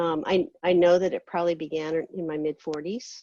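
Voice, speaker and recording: A woman talks at a moderate pace with a fairly low pitch and ordinary pitch variation, in a dry, close sound with no echo. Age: 50s. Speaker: patient with cystic fibrosis. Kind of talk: panel talk on personal experience. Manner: halting, many fillers.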